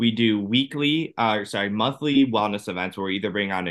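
A man with an American accent talks at a moderate pace in an unremarkable speaking voice. His pitch is fairly low, and his intonation is lively. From Ohio, US. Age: 30s. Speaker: cancer survivor and personal trainer. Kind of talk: interview testimony.

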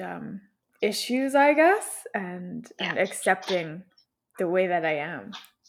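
On a very clean recording with a silent background, a woman talks at medium pitch with lively intonation and vocal fry. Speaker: podcast host. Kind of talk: interview, casual conversation. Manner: soft-spoken.

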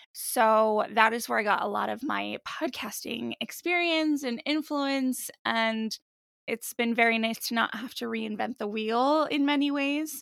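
A woman with an American accent talks at a fairly slow pace in a fairly high pitch. It is a normal speaking voice with ordinary pitch variation. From New Jersey, US. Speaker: podcast host, mental health advocate. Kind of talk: casual interview chat.

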